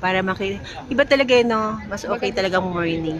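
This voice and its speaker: Over crowd noise in the background, the speaker talks at a moderate pace with lively intonation. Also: woman. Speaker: travel vlogger. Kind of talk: casual travel vlog. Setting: indoors in a busy mall. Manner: soft-spoken, holding voice down.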